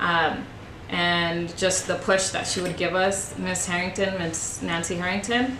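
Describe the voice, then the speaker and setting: A woman talks at a fairly slow pace with fairly even intonation, with audible room echo and noticeable background noise. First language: Spanish. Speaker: high school Spanish teacher. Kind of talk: interview. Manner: hesitant, many fillers.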